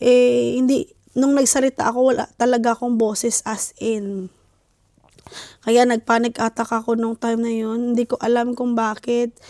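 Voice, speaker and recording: A dark, mellow tone at a moderate pace, monotone and flat in intonation, with a dry, close sound and no echo. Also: woman, fairly high pitch for a woman. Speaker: family vlogger. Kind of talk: casual vlog talk. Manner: hesitant with fillers.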